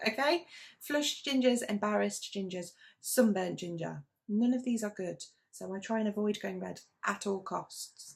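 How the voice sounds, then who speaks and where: At a moderate pace, a woman speaks with a British accent. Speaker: knitting vlogger. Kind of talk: casual chat.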